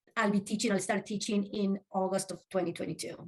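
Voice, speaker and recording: A woman speaks at a medium pitch with a Spanish accent. Her voice is somewhat breathy. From Uruguay. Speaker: social work professor. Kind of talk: interview.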